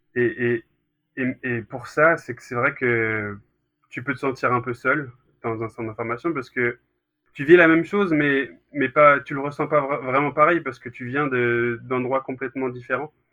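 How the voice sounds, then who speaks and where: In an unremarkable speaking voice, a man with a medium pitch talks at a fairly slow pace with fairly even intonation and big swings in loudness. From Brittany, France. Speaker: former youth goalkeeper. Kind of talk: interview. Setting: recorded separately.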